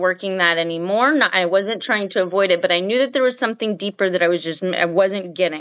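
Here is a woman with an unremarkable speaking voice at medium pitch. Her pace is fairly quick, with ordinary pitch variation. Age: 30s. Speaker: teacher. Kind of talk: interview.

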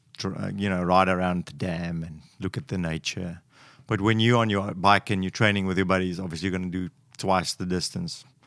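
With an African accent, a man talks at a fairly quick pace in a very deep, low pitch. His intonation is monotone and flat, and the recording is very clean against a silent background. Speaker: guest giving a man's perspective. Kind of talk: casual chat.

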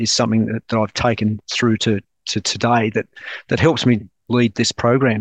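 Speaking at a moderate pace in an Australian accent, a man delivers monotone, flat intonation with a dry, close sound and no echo. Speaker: naval officer and defence project director. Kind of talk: casual chat.

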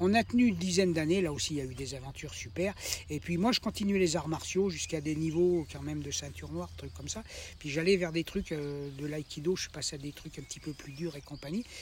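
Somewhat breathy, a man talks at a very fast pace with big swings in loudness. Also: lively intonation. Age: 70s. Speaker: retired vocational trainer. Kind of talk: life story interview. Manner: halting, many repetitions.

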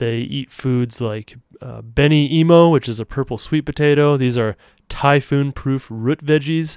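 A man with a normal speaking voice talks at a moderate pace with fairly even intonation. The sound is dry and close with no echo, and the recording is very clean with a silent background. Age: 30s. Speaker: podcast host. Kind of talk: solo faith-based monologue.

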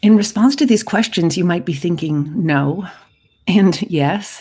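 A somewhat breathy woman's voice at medium pitch, dark and mellow, with lively intonation and a fairly slow pace. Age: 50s. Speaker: podcast host and parenting coach. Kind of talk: solo podcast monologue.

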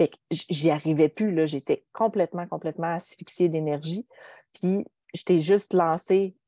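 A woman with a Quebec accent speaks fairly slowly in a fairly low pitch and dark, mellow tone, her intonation fairly even and her loudness swinging widely, in a dry, close sound with no echo. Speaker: podcast host and entrepreneur. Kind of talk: casual chat. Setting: video call.

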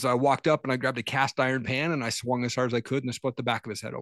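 Fairly even intonation from a man with an American accent, against a quiet background. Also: dry, close sound with no echo. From Washington State. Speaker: entrepreneur and podcaster. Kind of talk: casual interview.

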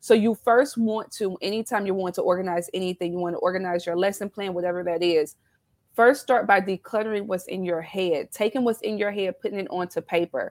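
With a Southern US accent, a woman speaks at medium pitch with ordinary pitch variation. The recording is very clean, dry and close, with no echo and a silent background. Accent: Southern US twang. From South Carolina. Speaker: business founder, former nurse educator. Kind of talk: casual interview chat.

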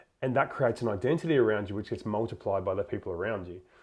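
Over a quiet background, a man speaks in a somewhat breathy voice at a fairly low pitch. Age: 30s. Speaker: podcast host. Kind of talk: interview conversation.

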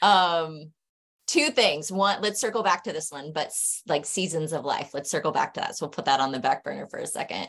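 This woman has a plain, everyday voice, fairly low in pitch, with an American accent and ordinary pitch variation. She talks at a fairly quick pace against a quiet background. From Arizona. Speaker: physical therapist. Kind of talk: casual chat. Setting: online call.

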